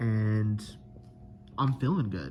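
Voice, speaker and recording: This man talks very slowly. There is a somewhat breathy quality to his voice. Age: 30s. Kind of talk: casual video diary to camera. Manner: hesitant, many filler words.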